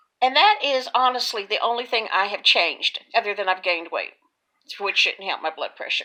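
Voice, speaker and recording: The voice carries a Texas accent and a bright, sharp tone. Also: woman. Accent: Texas drawl. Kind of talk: casual talk to camera. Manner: chatty, folksy.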